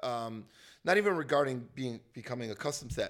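Captured on a very clean recording, a man talks against a silent background. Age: 30s. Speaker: comedian. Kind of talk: casual chat. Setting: at his home. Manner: animated.

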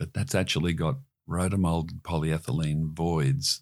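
Recorded very cleanly against a silent background, the speaker talks at a fairly slow pace with an Australian accent. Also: man. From Queensland, Australia. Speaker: marine industry CEO. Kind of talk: interview.

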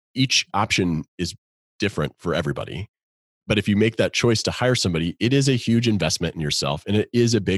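Talking at a very fast pace with ordinary pitch variation, a man is heard in a very clean recording with a silent background and a dry, close sound with no echo. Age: 30s. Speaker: financial advisor and investment officer. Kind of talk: podcast interview.

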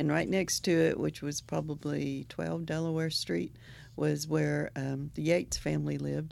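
Very clean, silent-background audio of a woman speaking. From northeastern Oklahoma. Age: 60s. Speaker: poetry podcast co-host, poet. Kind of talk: casual chat.

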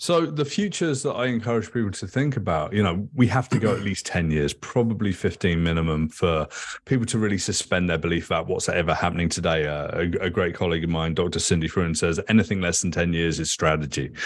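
In an English accent, the speaker rushes along at a very fast pace with lively intonation and hardly any pauses. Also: man, very deep, low pitch for a man. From England. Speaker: futurist and author. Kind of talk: casual interview conversation.

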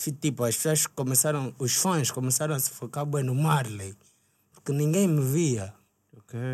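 A man with an ordinary speaking voice talks with ordinary pitch variation. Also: fairly high pitch for a man, moderate pace. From Angola, Luanda. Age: 20s. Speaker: rapper. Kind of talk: casual chat. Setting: studio.

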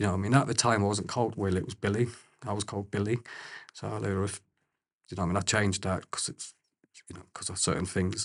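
Against a quiet background, a man with a fairly low, somewhat breathy voice talks at a very fast pace with fairly even intonation and long, frequent pauses. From Corby, Northamptonshire, England. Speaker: crime victim. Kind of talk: testimony.

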